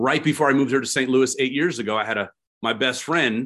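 A man with an American accent, very fast pace and ordinary pitch variation against a quiet background. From California. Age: 40s. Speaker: pastor. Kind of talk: sermon. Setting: video call.

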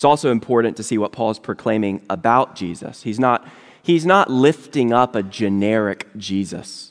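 Dry and close with no echo, a man with an ordinary speaking voice talks at a moderate pace, medium pitch and ordinary pitch variation. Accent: American. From Virginia. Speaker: lay elder and guest preacher. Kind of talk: sermon. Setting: church service.

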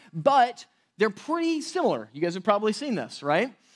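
A man's pitch swings very widely at a moderate speed on this very clean recording with its silent background. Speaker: pastor. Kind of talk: sermon. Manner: loud.

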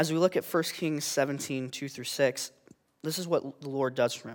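On a very clean recording with a silent background, a man speaks in a normal speaking voice at a fairly high pitch, a moderate pace and ordinary pitch variation. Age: 20s. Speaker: youth intern giving a sermon. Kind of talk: sermon.

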